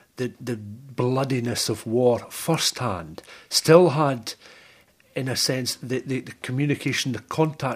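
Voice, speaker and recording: Medium pitch, ordinary pitch variation and an ordinary speaking voice, from a man. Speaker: radio presenter. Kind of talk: interview question.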